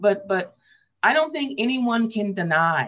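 At a moderate pace, a woman with an American accent speaks with very wide pitch swings. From US West Coast, Portland, Oregon. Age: 60s. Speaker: labor radio host and union organizer; labor radio host. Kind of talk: interview. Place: home room. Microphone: webcam.

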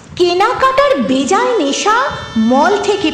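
Music plays behind the speaker. A woman's pitch swings very widely. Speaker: reciter. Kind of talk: poetry reading.

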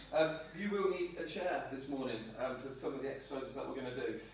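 Strong room echo and light background noise surround a man speaking at a fairly quick pace. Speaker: fitness trainer. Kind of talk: tutorial. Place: home room. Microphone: camera far.

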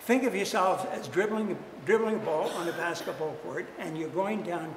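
Audible room echo surrounds a man who speaks at a moderate pace with a high pitch and ordinary pitch variation.

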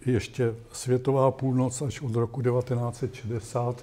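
The voice is somewhat breathy, with a dark, mellow tone and monotone, flat intonation. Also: man. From Czech Republic. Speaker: astronomer; invited lecturer. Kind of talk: lecture. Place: classroom.

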